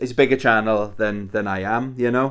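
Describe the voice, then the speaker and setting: A man with a strong Welsh accent speaks with ordinary pitch variation. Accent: thick Welsh. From Wales. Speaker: YouTuber, retro gaming. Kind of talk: casual vlog. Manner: casual, hesitant with fillers.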